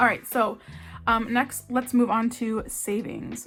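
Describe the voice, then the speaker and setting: Fairly high-pitched, fairly even speech from a woman over background music. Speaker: budgeting vlogger. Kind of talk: casual budgeting tutorial. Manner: casual with fillers; loud.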